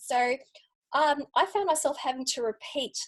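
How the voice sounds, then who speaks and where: Speaking in an Australian accent, a woman has a high pitch. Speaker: UX researcher. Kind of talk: lightning talk presentation.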